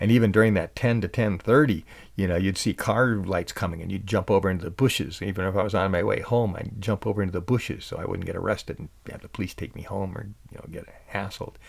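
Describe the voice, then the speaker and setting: Very fast and swinging widely in loudness, a man speaks at a fairly low pitch with fairly even intonation. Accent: American. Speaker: podcast host and musician. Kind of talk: casual storytelling monologue. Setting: home recording at night. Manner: soft-spoken; halting.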